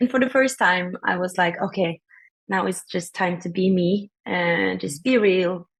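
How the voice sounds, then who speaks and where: Speaking at a fairly slow pace in a Norwegian accent, a woman has a somewhat breathy, medium-pitched voice with ordinary pitch variation. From Norway. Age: 20s. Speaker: singer-songwriter. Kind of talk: interview.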